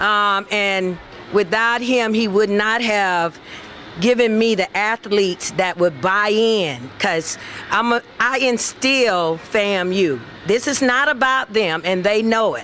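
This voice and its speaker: Over noticeable background noise, a woman talks at a very slow pace with ordinary pitch variation. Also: medium pitch for a woman. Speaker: softball coach. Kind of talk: acceptance speech.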